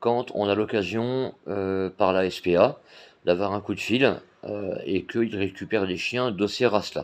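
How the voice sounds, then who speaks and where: His fairly low pitch as a man carries fairly even intonation at a fairly slow pace. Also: quiet background. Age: 40s. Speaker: blind guide dog volunteer and YouTuber. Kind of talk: casual vlog talk to camera. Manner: hesitant, many fillers.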